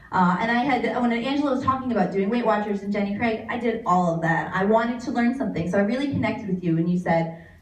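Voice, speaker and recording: A woman's fairly high voice at a very fast pace, with ordinary pitch variation, hardly any pauses, audible room echo and noticeable background noise. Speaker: fitness coach. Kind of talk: speech to event audience.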